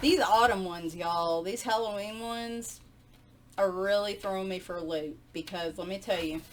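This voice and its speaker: This woman speaks with a Southern US accent. She leaves long pauses, and often. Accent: Southern US twang. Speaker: video host flipping through and reviewing coloring books. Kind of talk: casual, chatty, regional dialect. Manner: conversational, rambling with asides.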